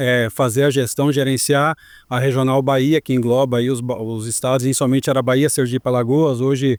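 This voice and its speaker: Over a very clean recording and silent background, a man delivers his words at a fairly quick pace with monotone, flat intonation. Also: medium pitch for a man. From southern Brazil (Rio Grande do Sul). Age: 40s. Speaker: footwear industry sales manager. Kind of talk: podcast interview. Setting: recording in a shop. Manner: hesitant, with fillers.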